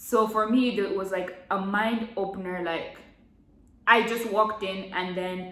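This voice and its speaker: Heard against noticeable background noise and audible room echo, a woman speaks with an American accent at a medium pitch and with fairly even intonation. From Nigeria (Abuja). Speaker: vlogger. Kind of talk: casual chat. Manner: casual, filler-heavy.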